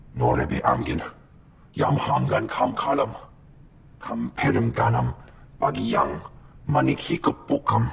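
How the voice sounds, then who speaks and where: Putting on a character voice, a man speaks at a fairly slow pace with long, frequent pauses. His pitch is very deep and low. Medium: video game.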